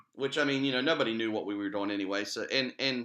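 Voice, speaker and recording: With an American accent, a man at medium pitch speaks in a bright, sharp tone and fairly even intonation. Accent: West Virginia redneck. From West Virginia. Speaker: internet radio co-host. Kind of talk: casual chat.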